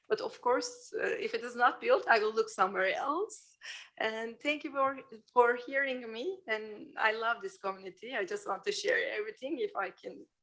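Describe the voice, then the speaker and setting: Speaking at a moderate pace with a non-native accent, a woman uses a high, bright, sharp voice with very wide pitch swings. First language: not English. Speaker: public hearing speaker, architect. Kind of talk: public comment. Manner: halting.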